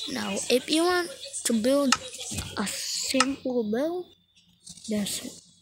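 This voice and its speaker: A woman with a high pitch speaks at a very slow pace, with lively intonation and long, frequent pauses. Her loudness swings widely over noticeable background noise. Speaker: gaming YouTuber. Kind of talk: game tutorial. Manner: apologetic.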